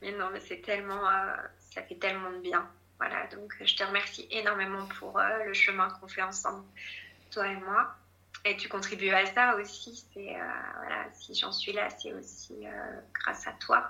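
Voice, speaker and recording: Against noticeable background noise, a woman speaks at a fairly slow pace with long, frequent pauses and big swings in loudness. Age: 30s. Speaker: bereaved mother sharing her story. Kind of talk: testimony.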